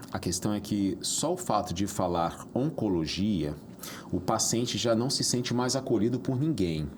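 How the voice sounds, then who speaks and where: A fairly low-pitched man with a Rio de Janeiro accent, fairly slow pace, very even loudness and lively intonation. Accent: carioca chiado. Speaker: podcast host. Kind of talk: interview podcast.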